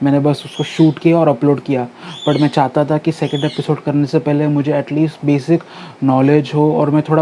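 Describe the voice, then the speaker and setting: A man talks at a fairly high pitch in a monotone, flat intonation. Noticeable background noise sits behind him. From India, Mumbai. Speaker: news commentary YouTuber. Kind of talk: casual talk to camera. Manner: hesitant, many fillers.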